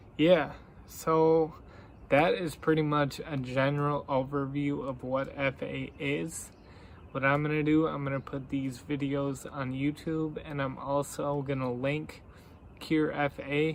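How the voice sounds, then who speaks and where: Talking at a very slow pace with long, frequent pauses, a man keeps his fairly high voice monotone and flat. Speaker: vlogger with a rare disease. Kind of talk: awareness vlog. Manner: slurred speech.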